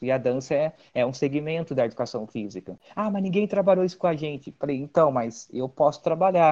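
Talking at a very fast pace, a man shows a fairly high pitch and ordinary pitch variation. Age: 30s. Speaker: dancer and physical education teacher. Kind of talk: casual interview.

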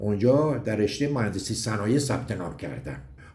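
This man has a dark, mellow tone and ordinary pitch variation, talking at a moderate pace with audible room echo. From Iran, Gorgan. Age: 70s. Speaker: mountaineering club veteran, former magazine editor. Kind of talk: recorded personal reminiscence.

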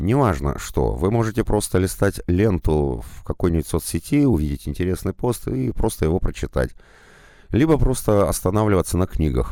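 With a dark, mellow tone and a very deep, low pitch, a man speaks at a moderate pace, his pitch swinging very widely. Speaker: audiobook narrator. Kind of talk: monologue advice.

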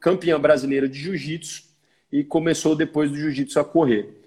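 A man with a normal speaking voice speaks at a fairly high pitch and a moderate pace, with fairly even intonation. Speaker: podcast host. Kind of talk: casual chat. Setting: video call.

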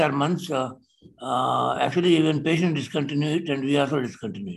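A man speaks at a very fast pace with vocal fry. His pitch is fairly high, with ordinary pitch variation. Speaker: senior cardiologist. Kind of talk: clinical discussion on a video call. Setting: video call.

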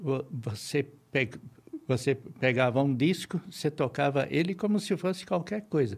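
This man's voice sits fairly high in pitch. It has a somewhat breathy quality. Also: fairly slow pace. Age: 70s. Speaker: retired electronics engineer. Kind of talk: interview. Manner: halting, with frequent repetitions.

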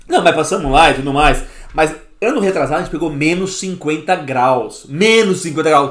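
With audible room echo, a man talks at a moderate pace with a fairly high pitch and ordinary pitch variation. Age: 30s. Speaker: podcast host. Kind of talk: casual chat.

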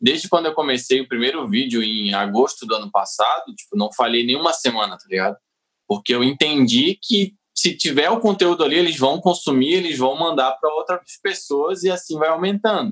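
Delivered at a fairly quick pace with a Santa Catarina accent, the voice shows vocal fry and very wide pitch swings. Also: man, fairly high pitch for a man. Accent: southern Brazilian (Santa Catarina). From Santa Catarina, southern Brazil. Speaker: comedian. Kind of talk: casual chat.

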